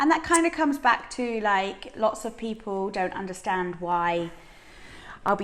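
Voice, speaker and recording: A woman with an English accent speaks at a moderate pace and a medium pitch. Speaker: strongwoman athlete. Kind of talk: interview. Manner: loud; animated.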